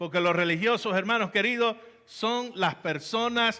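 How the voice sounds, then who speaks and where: A man is talking. His voice is raised and projected. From Venezuela, Valencia (Carabobo). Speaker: pastor. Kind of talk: sermon.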